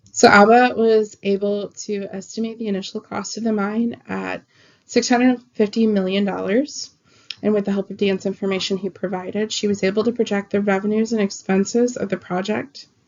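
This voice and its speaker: At a moderate pace, a woman speaks at a medium pitch. Her intonation is a flat monotone. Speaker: student. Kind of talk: class presentation. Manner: halting, with fillers.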